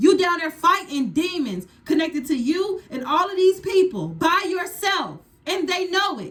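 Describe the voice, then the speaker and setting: A woman shouts loudly in an animated tone, her extremely high pitch showing ordinary variation as she talks at a fairly slow pace with hardly any pauses. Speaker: tarot reader. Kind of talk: tarot reading. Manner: loud, yelling.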